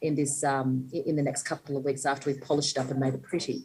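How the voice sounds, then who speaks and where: At a very fast pace, a woman speaks with a very deep, low pitch. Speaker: panellist from a small business council. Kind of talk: panel discussion.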